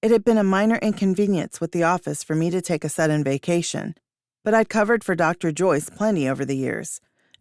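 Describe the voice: With a quiet background, the clip is plain reading aloud.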